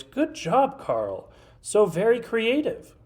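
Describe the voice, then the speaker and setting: This put-on character voice is squeaky and fairly high in pitch, moving at a very slow pace. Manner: praising, encouraging.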